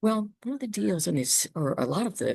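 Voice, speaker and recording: A woman with a Southern US accent speaks with vocal fry. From US South (Savannah, Georgia). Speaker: healthcare business consultant. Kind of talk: webinar talk. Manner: hesitant with fillers.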